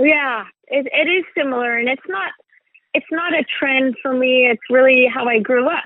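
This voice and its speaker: High pitch from a woman, varying in an ordinary way. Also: moderate pace. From Sweden. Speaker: makeup artist and beauty brand founder. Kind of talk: interview. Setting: phone call. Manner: halting.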